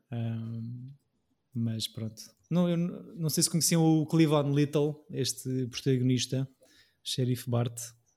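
Very slowly, with long, frequent pauses, a man speaks at a medium pitch in a somewhat breathy, dark, mellow tone with ordinary pitch variation. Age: 30s. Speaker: podcast host. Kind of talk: casual chat.

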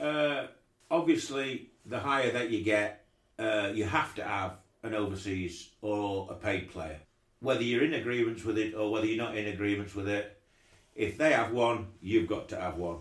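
At a moderate pace, a man with an East Midlands accent talks in a fairly low pitch. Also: ordinary pitch variation. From Derbyshire, England. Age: 60s. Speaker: cricket club chairman. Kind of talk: interview. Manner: halting.

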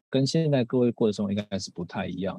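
Against a quiet background, a man's dark, mellow voice shows ordinary pitch variation in a dry, close recording with no echo. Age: 30s. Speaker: physical therapist and coach. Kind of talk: talk at a live seminar. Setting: stage with audience.

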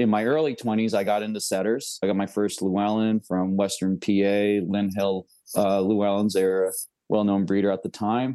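Over a quiet background, a man with an American accent speaks at a moderate pace in a fairly low pitch, his tone dark and mellow and his intonation flat and monotone. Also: very even loudness. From upstate New York (Catskills). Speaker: bird dog breeder and trainer. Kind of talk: casual interview.

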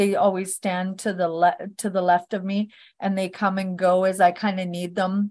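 Against a quiet background, a woman with a Canadian accent speaks at a moderate pace. Her medium-pitched voice has monotone, flat intonation. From Northern Alberta, Canada. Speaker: author and psychic medium. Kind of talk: casual interview.

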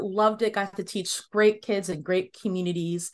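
Against a quiet background, a woman with an unremarkable speaking voice talks at a medium pitch and a moderate pace. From US, Washington DC area (Northern Virginia). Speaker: music education consultant. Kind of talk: interview.

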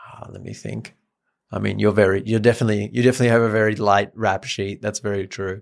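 Very fast, monotone, flat delivery in a German accent, with big swings in loudness, on a very clean recording with a silent background. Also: man. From Germany. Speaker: podcast co-host and meditation app co-founder. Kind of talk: casual chat.

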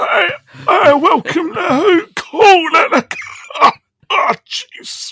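This put-on character voice is extremely high and creaky, moving at a very slow pace with long, frequent pauses.

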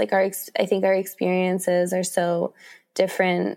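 In a Mid-Atlantic American accent, a woman with a dark, mellow tone speaks at a medium pitch and a moderate pace, captured in a very clean recording with a silent background. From Washington, D.C. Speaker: author and photographer. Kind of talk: interview.

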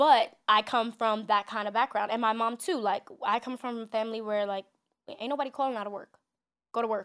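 Fairly quick and fairly even in intonation, a woman with a New York accent speaks in a fairly high pitch in a very clean recording with a silent background. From New York City, Manhattan. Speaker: entertainment journalist and TV host. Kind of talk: casual interview. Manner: fast talker.

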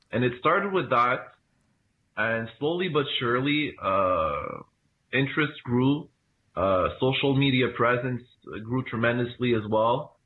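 Delivered at a fairly slow pace with very even loudness, the speech has ordinary pitch variation and long, frequent pauses. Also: man, medium pitch for a man. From Canada (Montreal). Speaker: football supporters club president. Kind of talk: interview.

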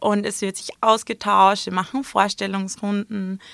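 A woman speaks at a fairly slow pace and a fairly high pitch, in a bright, sharp tone. The recording is very clean, dry and close, with no echo and a silent background. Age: 20s. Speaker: influencer and entrepreneur. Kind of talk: interview.

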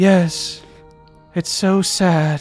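Over faint music in the background, a put-on character voice speaks at a middle pitch. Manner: mopey, sad, deep-sounding.

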